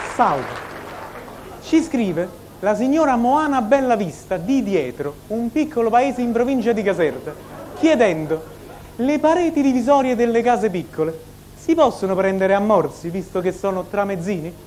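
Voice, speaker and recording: Against light background noise, a man talks at a moderate pace with long, frequent pauses. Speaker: comedian. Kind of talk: stand-up comic monologue. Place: stage. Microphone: lapel.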